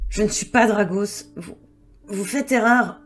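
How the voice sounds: A female-sounding, raspy put-on character voice speaks at a fairly slow pace and a medium pitch.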